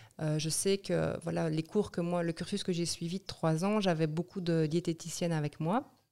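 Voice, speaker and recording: A woman with a dark, mellow tone and a fairly low pitch talks at a moderate pace with fairly even intonation and hardly any pauses. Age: 40s. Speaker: nutrition therapist. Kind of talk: interview.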